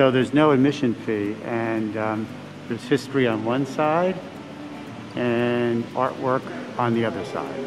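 Noticeable background noise sits under a man's voice. He speaks at a fairly slow pace with ordinary pitch variation and long, frequent pauses. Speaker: travel vlogger. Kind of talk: casual vlog chat. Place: hall. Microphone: phone near.

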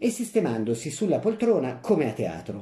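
In a theatrical, playful tone, a man speaks at a fairly slow pace, his voice dark, mellow and somewhat breathy with very wide pitch swings. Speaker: actor reading a short story aloud. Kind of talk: dramatic narration, story read aloud with character voices. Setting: audio recording of a story reading. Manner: expressive, theatrical, shifting between narrator and the grandmother's old-woman voice; comic timing, playful and mischievous in the humorous lines.

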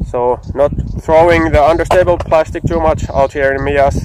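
A man talks at a moderate pace with fairly even intonation. The sound is dry with no echo, and there is light background noise. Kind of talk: casual vlog chat. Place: open country. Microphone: phone near.

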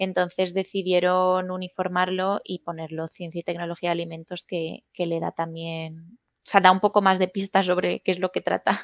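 Against a quiet background, a woman talks with hardly any pauses in a monotone, flat intonation, her loudness swinging widely. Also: medium pitch for a woman, moderate pace, dry sound with no echo. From Madrid, Spain; Spain. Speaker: food technologist; interview guest. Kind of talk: interview. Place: home room. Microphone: headset.

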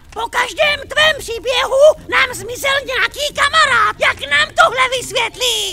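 Someone does a put-on character voice at an extremely high pitch with a grumpy tone. There is light background noise. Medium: dub. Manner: grumpy, demanding.

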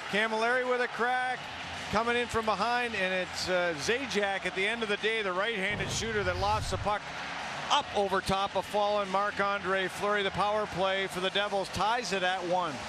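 A man's raised, projected voice, high in pitch, fairly even in intonation, with noticeable background noise. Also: moderate pace. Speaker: color commentator. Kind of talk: live commentary. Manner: conversational, analytical, explaining plays.

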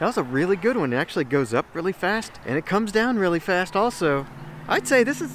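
The pitch swings very widely, the sound is dry with no echo, and light background noise is present. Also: man. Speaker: travel vlogger. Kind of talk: casual vlog chat. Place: open country. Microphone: phone near.

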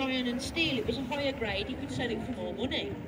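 Noticeable noise in the background behind a woman speaking. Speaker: tour boat guide. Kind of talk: tour guide commentary. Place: boat. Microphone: camera far.

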